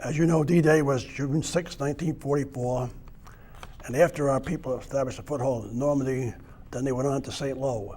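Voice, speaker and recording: Over noticeable background noise, a man speaks fairly quickly in an American accent. His pitch is fairly high and his intonation fairly even. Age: 80s+. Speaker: war veteran. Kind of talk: oral history testimony. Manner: halting, with fillers and restarts.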